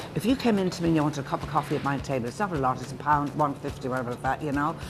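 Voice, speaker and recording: Very fast and very deep in pitch, a woman speaks with ordinary pitch variation. Noticeable background noise runs underneath. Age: 70s. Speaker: waitress. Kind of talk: interview and chat with customers. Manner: animated.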